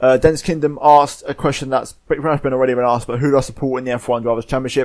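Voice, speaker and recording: A man with a British accent, medium pitch and flat monotone intonation, at a very fast pace. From Spain. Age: young. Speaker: gaming YouTuber. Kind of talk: casual Q&A monologue. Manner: hesitant, many fillers.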